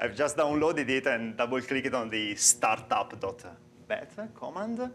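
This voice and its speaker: A man of medium pitch speaks with an Italian accent. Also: ordinary pitch variation, moderate pace. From Italy. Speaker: software developer and conference speaker. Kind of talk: conference talk. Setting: stage with audience. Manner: halting.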